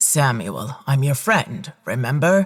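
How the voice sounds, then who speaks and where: A man puts on a character voice at a medium pitch, swinging his pitch very widely and talking at a fairly slow pace. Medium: read story. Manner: calm, authoritative.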